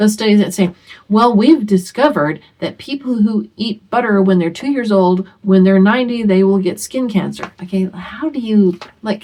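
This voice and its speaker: A woman speaks at a medium pitch and a moderate pace. She has a normal speaking voice. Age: 60s. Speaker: homeschooling mother and video host. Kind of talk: casual talk to camera. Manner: conversational, with many fillers.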